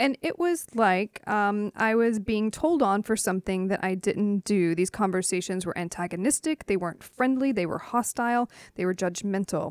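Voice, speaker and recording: A woman with an American accent, a normal speaking voice at medium pitch, lively intonation, moderate pace and hardly any pauses, in a very clean recording with a silent background and a dry, close sound with no echo. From US, Knoxville, Tennessee. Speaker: public historian, author. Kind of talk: interview.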